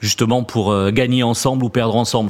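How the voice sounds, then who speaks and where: A man with a southwestern French accent talks at a very fast pace and medium pitch, his intonation fairly even, over noticeable background noise. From southwest France, Toulouse region. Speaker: purchasing director. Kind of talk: interview.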